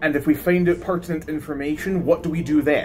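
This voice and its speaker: A man's high-pitched voice over faint music in the background. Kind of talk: comedic character dialogue. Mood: stern, commanding, mock-dramatic. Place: home room. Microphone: phone near.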